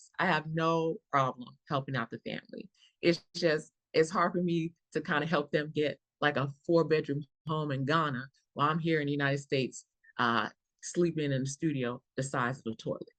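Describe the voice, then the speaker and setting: A woman speaks at a moderate pace with an American accent and a very deep, low pitch. Her pitch varies in an ordinary way, and the sound is dry and close with no echo. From Chicago. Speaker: stand-up comedian. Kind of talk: stand-up comedy set.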